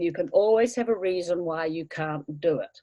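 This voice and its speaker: A woman with a New Zealand accent, a dark, mellow tone and very wide pitch swings. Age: 70s. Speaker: language course student. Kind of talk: interview.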